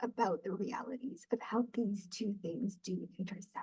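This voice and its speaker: A woman talks at a moderate pace, somewhat breathy. Her pitch varies in an ordinary way. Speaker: peer support specialist. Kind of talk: webinar presentation. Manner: frequent filler ums.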